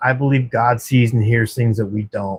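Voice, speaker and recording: A man speaks with an American accent, his voice somewhat breathy. His intonation stays fairly even. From Texas. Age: 40s. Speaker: livestreamer in addiction recovery. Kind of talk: casual livestream chat. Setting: at work, night shift. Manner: warm, casual.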